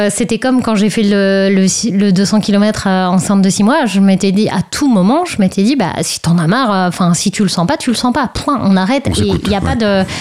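This woman has an unremarkable speaking voice, talking at a moderate pace and medium pitch with ordinary pitch variation and hardly any pauses. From Brittany, France. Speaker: long-distance cyclist and new mother. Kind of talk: radio interview.

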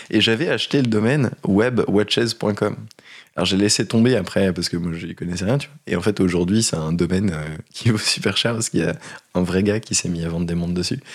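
In an ordinary speaking voice, a man with a fairly low pitch talks at a fairly quick pace with ordinary pitch variation. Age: 30s. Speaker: startup founder. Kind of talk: casual chat.

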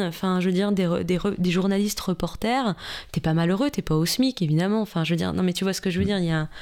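The woman's pitch is mid-range with normal rise and fall, captured in a very clean recording against a silent background. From Franche-Comté, Besançon. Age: 30s. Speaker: TV journalist. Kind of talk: interview.

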